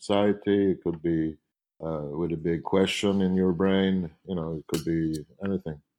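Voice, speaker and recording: A man speaks at a moderate pace with a Swedish accent against a quiet background. His pitch is very deep and low, with ordinary variation. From Sweden, Stockholm. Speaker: painter. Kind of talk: interview.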